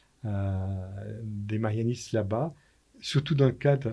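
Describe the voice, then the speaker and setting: Very slow and somewhat breathy, a man speaks in a dark, mellow tone with ordinary pitch variation on a very clean recording with a silent background. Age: 70s. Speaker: priest. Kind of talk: radio interview.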